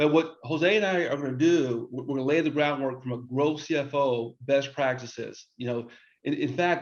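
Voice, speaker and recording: Speaking at a moderate pace, a man with an American accent uses a fairly high pitch and ordinary pitch variation. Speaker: business consultant and webinar host. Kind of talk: webinar presentation. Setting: online webinar. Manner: halting, frequent repetitions and restarts.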